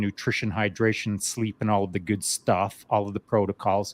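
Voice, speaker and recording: A man with a normal speaking voice talks at a fairly quick pace and fairly low pitch. The sound is dry and close with no echo, over a quiet background. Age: 60s. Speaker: veteran guest on podcast. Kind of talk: casual chat. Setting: live online show.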